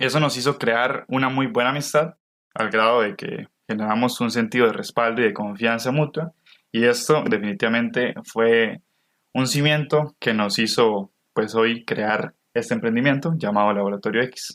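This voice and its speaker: Here is a man with an unremarkable speaking voice at a medium pitch. His pitch shifts by an ordinary amount. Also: moderate pace. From Costa Rica. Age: 20s. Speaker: podcast co-host, university student. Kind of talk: scripted podcast narration.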